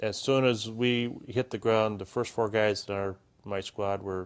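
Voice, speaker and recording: With an Upper Midwest accent, the speaker talks in a monotone, flat intonation. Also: man. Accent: Upper Midwest American. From Minnesota, Minneapolis area. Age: 50s. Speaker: war veteran. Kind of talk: interview testimony.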